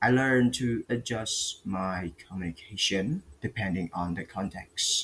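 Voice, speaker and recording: A man with an Indonesian accent, fairly slow, with hardly any pauses and ordinary pitch variation. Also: medium pitch for a man. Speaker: student. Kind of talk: class presentation. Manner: halting, with fillers.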